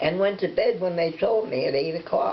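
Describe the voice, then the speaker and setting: A woman talks at a moderate pace amid noticeable background noise. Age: 80s+. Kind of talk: interview answer.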